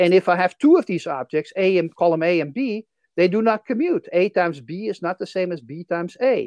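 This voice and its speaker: A woman speaks at a fairly quick pace with a Dutch accent, in a dry, close sound with no echo and a quiet background. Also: medium pitch for a woman, lively intonation. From Netherlands. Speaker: history of science professor. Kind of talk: casual interview.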